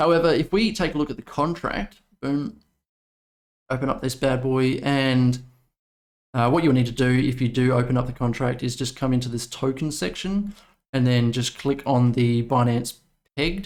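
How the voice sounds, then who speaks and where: A man with an Australian accent speaks at a moderate pace in a medium-pitched voice, leaving long, frequent pauses. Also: ordinary pitch variation. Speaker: crypto YouTuber. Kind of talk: video commentary. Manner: casual, many fillers.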